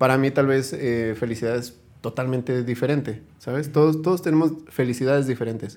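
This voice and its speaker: In a normal speaking voice, a man holds a medium pitch and keeps his intonation fairly even. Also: fairly quick pace. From Hidalgo, Mexico. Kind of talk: casual chat.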